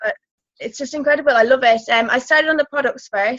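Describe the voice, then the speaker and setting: A voice with an Irish accent, fairly even intonation, and a dry, close sound with no echo. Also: woman. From Ireland. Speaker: network marketing distributor. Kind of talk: testimony. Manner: hesitant, many fillers.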